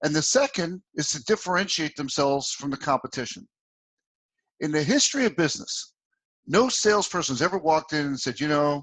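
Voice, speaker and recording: Speaking fairly quickly with lively intonation, a man with a New Jersey accent has a fairly high pitch. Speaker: sales consultant and author. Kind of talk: interview. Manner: animated.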